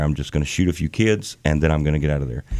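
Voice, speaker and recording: A man with a very deep, low pitch and a Southern US accent at a very fast pace. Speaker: bass vocalist in a gospel quartet. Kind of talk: casual interview chat. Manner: animated.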